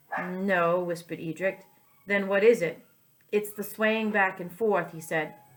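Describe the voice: This is plain reading aloud. Nothing more is added.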